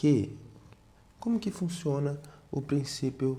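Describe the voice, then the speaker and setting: Soft-spoken and somewhat breathy, the voice has a dark, mellow tone and lively intonation, moving at a very slow pace with audible room echo. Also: man. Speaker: math teacher. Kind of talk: tutorial.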